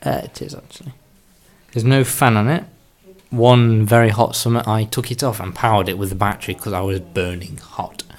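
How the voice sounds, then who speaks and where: Mumbling, a man speaks at a medium pitch with ordinary pitch variation. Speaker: tech hobbyist vlogger. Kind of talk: casual show-and-tell video.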